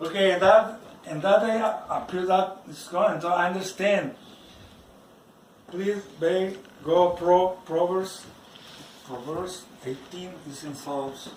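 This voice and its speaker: A man with a non-native accent speaks at a very slow pace and a high pitch, with ordinary pitch variation, long, frequent pauses and big swings in loudness, over noticeable background noise. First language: not English. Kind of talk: personal religious testimony.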